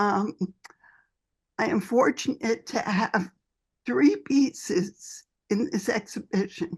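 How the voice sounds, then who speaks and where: A somewhat breathy woman talks at a very slow pace with lively intonation. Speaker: fiber artist. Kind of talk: artist talk. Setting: video call.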